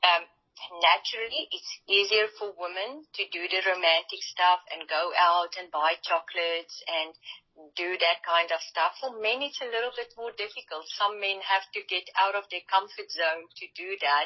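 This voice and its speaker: Speaking at a moderate pace with a non-native accent, a woman uses a medium pitch with ordinary variation, and her loudness swings widely. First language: not English. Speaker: relationship coach. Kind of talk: interview.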